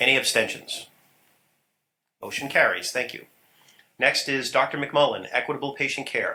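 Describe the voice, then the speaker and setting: The man's voice has a fairly high pitch and a bright, sharp tone. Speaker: council chairman. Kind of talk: formal meeting chairing. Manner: fast.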